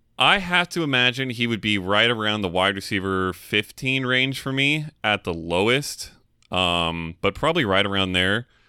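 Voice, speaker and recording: In a very clean recording with a silent background, a man with a fairly low pitch speaks at a moderate pace in an ordinary speaking voice with lively intonation. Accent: American. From California. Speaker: fantasy football podcast co-host. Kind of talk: casual chat.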